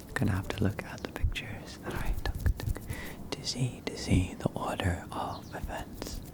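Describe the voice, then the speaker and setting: Whispering at a moderate pace is heard over noticeable background noise. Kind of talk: ASMR soft-spoken chat with trigger words. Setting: close microphone in a home setup. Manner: soft-spoken, whispered, repeating trigger words.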